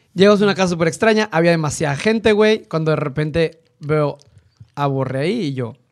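A man's fairly high-pitched voice with ordinary pitch variation at a moderate pace. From northeastern Mexico (Tamaulipas). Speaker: designer and podcaster. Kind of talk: casual chat.

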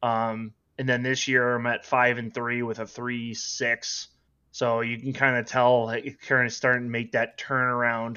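In a Minnesotan accent, a man speaks at a fairly slow pace and medium pitch with monotone, flat intonation. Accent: Minnesota. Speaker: online sports sim league player. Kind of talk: casual chat.

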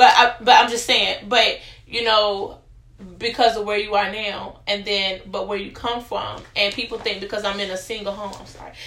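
The speaker has an American accent and talks at a moderate pace with monotone, flat intonation. Loudness swings widely, and there is noticeable background noise. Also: woman, fairly high pitch for a woman. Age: young. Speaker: podcast guest sharing personal story. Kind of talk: testimony.

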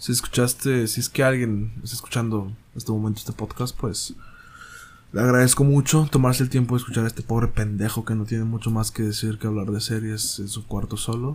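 A man's medium-pitched voice in a flat monotone. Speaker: solo podcast host reviewing films and series. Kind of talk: casual solo monologue review. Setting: home recording in bedroom. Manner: halting, hesitant with restarts.

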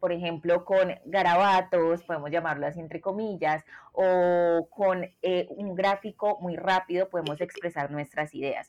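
Her fairly low pitch and fairly even intonation mark this woman's unremarkable speaking voice, which moves at a fairly slow pace with hardly any pauses. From Colombia. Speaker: product designer. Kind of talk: interview.

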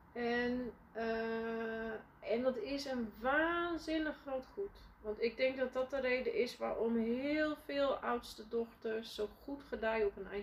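Over noticeable background noise, a woman talks very slowly in a high pitch with ordinary pitch variation. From Netherlands, Friesland (village). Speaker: leadership coach and entrepreneur. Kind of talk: interview, casual conversation. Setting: podcast. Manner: hesitant, many fillers.

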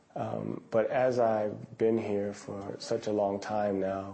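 A man talks in a room with audible echo. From US. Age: 40s. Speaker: fitness instructor. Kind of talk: documentary interview.

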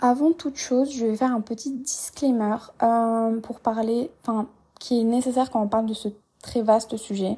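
A woman speaks at a fairly high pitch and a fairly slow pace, with a dark, mellow tone and fairly even intonation. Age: 20s. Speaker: podcast host. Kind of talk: casual monologue.

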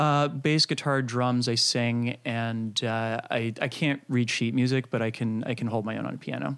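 With an ordinary speaking voice, a man of medium pitch talks at a moderate pace, using fairly even intonation and hardly any pauses. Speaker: internet marketer and YouTuber. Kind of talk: casual interview chat.

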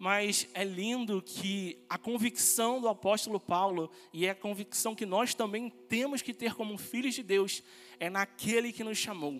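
A man's high voice carries ordinary pitch variation as he speaks. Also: fairly slow pace. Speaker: pastoral trainee preaching. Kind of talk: sermon, preaching a Bible study message to a congregation. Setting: church. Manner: earnest, fervent preacher's delivery, rising with conviction and ending in praise.

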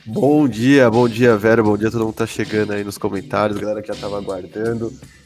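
A man talking very fast at a fairly low pitch, music in the background. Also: fairly even intonation. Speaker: podcast co-host. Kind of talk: casual chat. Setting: away from usual studio. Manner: quiet, restrained.

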